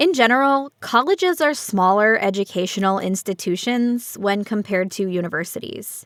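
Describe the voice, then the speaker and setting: A fairly high-pitched woman with an American accent, in a very clean recording with a silent background and a dry, close sound with no echo. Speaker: English teacher. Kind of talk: reading aloud. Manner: slow.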